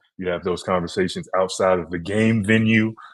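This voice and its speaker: A man talks at a fairly quick pace with fairly even intonation against a quiet background. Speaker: podcast co-host, former college basketball player. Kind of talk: casual chat.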